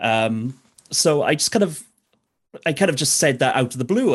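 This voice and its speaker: A man with a South Welsh accent speaks at a fairly quick pace. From South Wales, Neath Port Talbot. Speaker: DJ and radio presenter. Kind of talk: casual interview.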